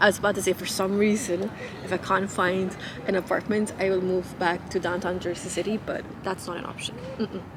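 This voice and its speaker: Noticeable background noise sits behind a woman speaking at medium pitch. She talks fairly quickly in a monotone, flat intonation. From Nepal (Kathmandu). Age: 30s. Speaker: lifestyle vlogger. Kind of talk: casual chat.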